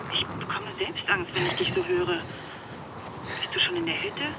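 A woman's put-on character voice, extremely high-pitched with big pitch swings, over clear background noise. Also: moderate pace.

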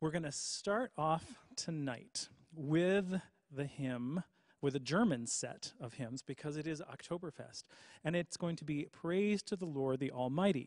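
A man speaks fairly slowly, his pitch varying in an ordinary way, with a quiet background behind him. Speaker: hymn sing host. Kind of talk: casual presentation to a livestream audience. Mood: jovial, light humor. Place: church. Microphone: studio mic.

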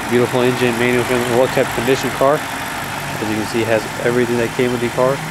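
Over loud background noise, someone talks at a fairly quick pace in a dry sound with no echo. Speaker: car seller. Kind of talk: sales walkaround commentary. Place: garage. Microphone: phone near.

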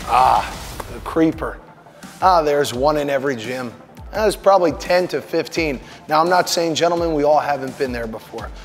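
A man talks with ordinary pitch variation while faint music plays in the background. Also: moderate pace. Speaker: gym trainer host. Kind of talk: comedic rant to camera. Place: gym. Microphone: lapel.

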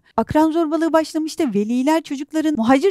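A woman's high-pitched voice with a dark, mellow tone, ordinary pitch variation and a very fast pace, over a quiet background in a dry recording with no echo. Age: 40s. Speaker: documentary filmmaker and journalist; interview guest. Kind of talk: interview. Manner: halting. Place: studio. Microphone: lapel.

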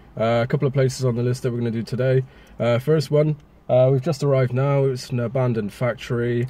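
Very fast, somewhat breathy speech with a dark, mellow tone, monotone, flat intonation and a dry sound with no echo. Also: man. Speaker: urban explorer vlogger. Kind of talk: casual vlog chat. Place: car. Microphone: phone near.

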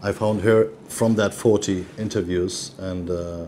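With light background noise behind him, a man speaks in a fairly low pitch with monotone, flat intonation. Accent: German. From Germany. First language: German. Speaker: real estate company executive. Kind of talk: interview. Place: office. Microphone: lapel.

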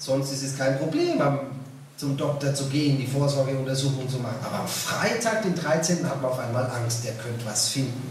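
Light background noise and audible room echo surround a man speaking. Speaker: preacher. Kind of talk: sermon. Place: church.

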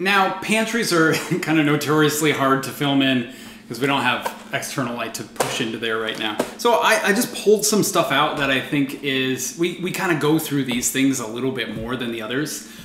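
Audible room echo and light background noise surround the speaker. A man talks at a moderate pace. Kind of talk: casual vlog chat. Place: kitchen.

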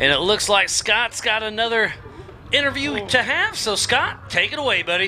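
A high-pitched man with a Southern US accent, lively intonation and very even loudness, over noticeable background noise. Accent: Southern drawl. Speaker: race commentator. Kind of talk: live commentary.

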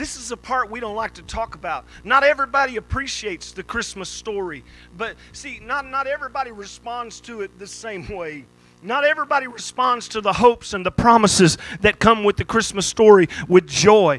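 The sound is dry, with no echo. A man speaks at a high pitch with ordinary pitch variation. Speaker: pastor. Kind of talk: sermon. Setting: church. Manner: halting; animated. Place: church. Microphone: handheld.

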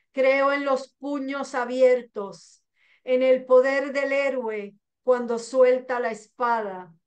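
Speaking very slowly in a high voice with a Puerto Rican accent, a woman keeps her intonation fairly even over a quiet background. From Puerto Rico, Mayagüez. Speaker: poet. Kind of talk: poetry reading. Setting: video call. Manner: intense, expressive, confessional delivery. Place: home room. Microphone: video call.

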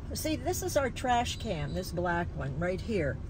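Someone with an American accent speaks at a moderate pace in a dry sound with no echo, against noticeable background noise. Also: woman. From Santa Monica, California. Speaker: longtime local resident. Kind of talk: interview answer. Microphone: phone near.

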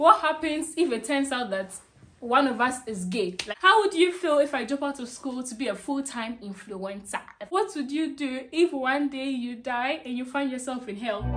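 A woman with a high pitch speaks with lively intonation. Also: moderate pace. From Ghana. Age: 20s. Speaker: vlogger interviewing her mother. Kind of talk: casual talk to camera. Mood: playful, laughing. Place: home room. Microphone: camera far.

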